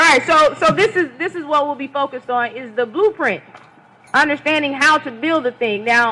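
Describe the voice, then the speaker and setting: A woman speaks in a raised, projected voice at a high pitch and a fairly quick pace. Her intonation is lively, with big swings in loudness over noticeable background noise. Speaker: religious lecturer. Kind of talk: lecture.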